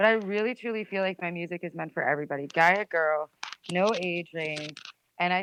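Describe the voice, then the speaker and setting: A woman speaks in a New Jersey accent at medium pitch. Her pace is fairly quick, her pitch variation ordinary. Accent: New Jersey American. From New Jersey, USA. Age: 20s. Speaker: musician. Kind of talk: interview answer. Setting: phone line.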